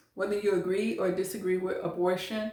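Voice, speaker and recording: A woman's voice at a medium pitch and a moderate pace. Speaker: social commentary vlogger. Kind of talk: opinion monologue. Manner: passionate, voice rises when emotional; halting, repeats words.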